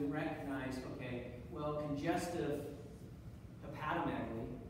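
A man's voice with strong room echo and noticeable background noise. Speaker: lecturer. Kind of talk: lecture. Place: classroom. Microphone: camera far.

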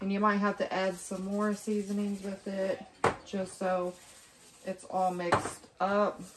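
Through loud background noise, a woman talks at a very slow pace. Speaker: home cook vlogger. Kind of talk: casual cooking tutorial. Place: kitchen. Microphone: camera far.

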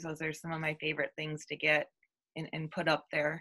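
A woman's voice with a bright, sharp tone. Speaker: podcast host. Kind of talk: interview.

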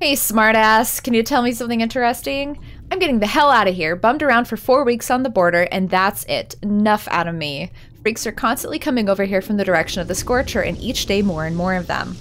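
Very fast pace with lively intonation. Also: woman, fairly high pitch for a woman. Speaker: let's play gamer. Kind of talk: casual gameplay commentary. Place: home room.

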